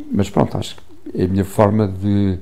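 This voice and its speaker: Over noticeable background noise, a man speaks in a very deep, low voice with flat, monotone intonation. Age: 70s. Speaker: photographer. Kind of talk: interview. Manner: halting, with many repetitions and fillers.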